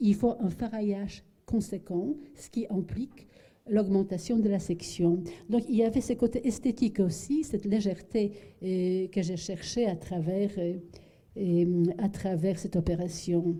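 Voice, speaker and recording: In a Polish accent, a woman with a somewhat breathy, dark, mellow tone speaks at medium pitch with ordinary pitch variation. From Poland. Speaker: architect. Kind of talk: lecture. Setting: lecture hall with audience. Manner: halting, many fillers and repetitions.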